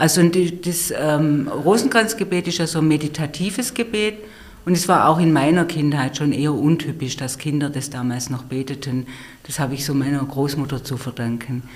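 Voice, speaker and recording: A woman with a very deep, low pitch at a moderate pace and ordinary pitch variation. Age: 50s. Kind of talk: conversational interview. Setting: studio, face to face. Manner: hesitant, many fillers.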